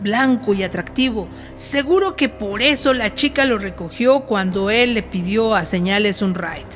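Music in the background behind a woman's fairly slow delivery. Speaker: radio drama narrator. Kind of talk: horror story narration for radio.

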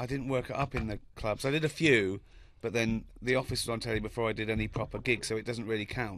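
Fairly quick and fairly even in intonation, a man talks in a dry sound with no echo. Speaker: guest comedian. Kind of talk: interview answer. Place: studio. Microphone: studio mic.

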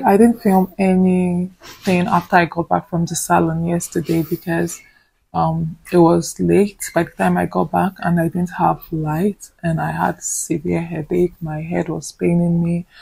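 With a Nigerian accent, a woman speaks at a fairly slow pace. The sound is dry with no echo, and the background is quiet. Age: 20s. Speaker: vlogger, nursing student; vlogger. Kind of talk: casual vlog talk to camera. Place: home room. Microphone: phone near.

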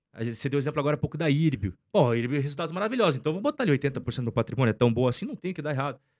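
A man rattles along very fast with lively intonation, the background around him quiet. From Curitiba, Paraná, southern Brazil; Paraná, Brazil. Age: 30s. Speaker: investor and finance content creator; finance content creator. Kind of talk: casual interview chat. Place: studio. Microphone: studio mic.

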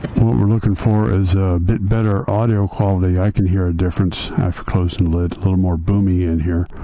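With a very deep, low pitch, a man talks at a fairly quick pace with hardly any pauses and fairly even intonation. Light background noise can be heard. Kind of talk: casual equipment test narration. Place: street. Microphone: helmet.

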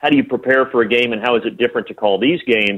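A man with a medium-pitched voice and ordinary pitch variation speaks in a plain, everyday voice. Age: 30s. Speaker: play-by-play announcer. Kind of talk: interview.

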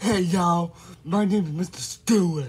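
Someone uses a put-on character voice at a middle pitch and a moderate pace. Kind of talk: friendly, casual.

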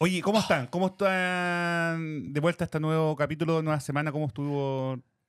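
A man with a Chilean accent speaks at a fairly quick pace with hardly any pauses, in a fairly high pitch. His intonation is fairly even, and the background is quiet. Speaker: podcast co-host. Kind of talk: casual chat. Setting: studio. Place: studio. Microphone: studio mic.

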